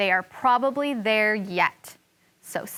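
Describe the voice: The text is delivered as plain reading aloud. Nothing more is added to the reading.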